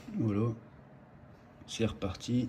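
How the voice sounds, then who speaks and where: Very slowly, a man talks while noticeable background noise carries on behind him. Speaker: home automation hobbyist. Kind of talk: tutorial. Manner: loud; casual, hesitant.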